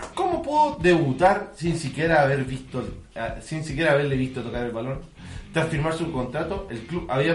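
In a Chilean accent, a man talks at a fairly quick pace and a fairly high pitch, with ordinary pitch variation. Noticeable background noise and audible room echo are present. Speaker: podcast co-host. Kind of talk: reading aloud; casual chat.

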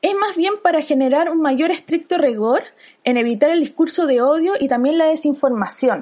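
A woman speaks at a high pitch with ordinary pitch variation and a dark, mellow tone. Her loudness stays very even at a moderate pace. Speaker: podcast host, designer. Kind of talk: casual chat.

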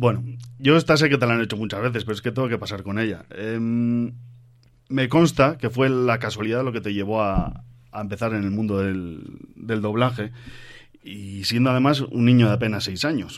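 Audible room echo surrounds a man of medium pitch speaking at a moderate pace with ordinary pitch variation. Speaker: podcast host. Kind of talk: live on-stage interview. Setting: stage with audience.

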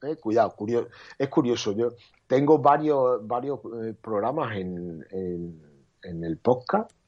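A man's medium-pitched voice, fairly slow, with very wide pitch swings over a quiet background. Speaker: photographer. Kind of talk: casual interview. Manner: hesitant, repeats words.

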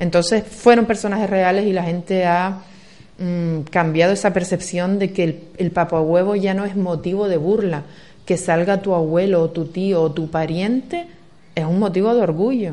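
Woman's voice with a dark, mellow tone and fairly even intonation. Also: medium pitch for a woman. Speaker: local councillor. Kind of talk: radio interview. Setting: radio studio. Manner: fast.

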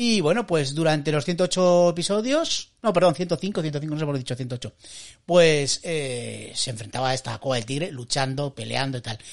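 The speaker talks at a moderate pace. The background is quiet. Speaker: wrestling podcast co-host. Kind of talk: casual chat.

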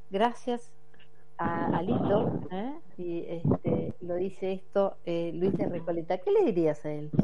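Over noticeable background noise and audible room echo, a woman speaks at a very slow pace with ordinary pitch variation. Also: fairly low pitch for a woman. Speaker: radio host. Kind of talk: radio interview. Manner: hesitant, many fillers.

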